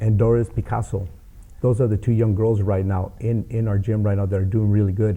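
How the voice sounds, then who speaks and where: With an American accent, a man speaks at a fairly quick pace in a dark, mellow, somewhat breathy tone, his fairly low pitch flat and monotone and his loudness very even. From Los Angeles. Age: 60s. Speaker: boxing coach and youth mentor. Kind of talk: interview.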